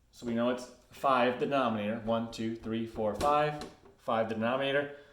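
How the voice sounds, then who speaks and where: There's noticeable background noise and audible room echo as a man speaks in a flat monotone at a medium pitch. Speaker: schoolteacher. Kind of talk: recorded lesson for students. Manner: casual, hesitant; fast.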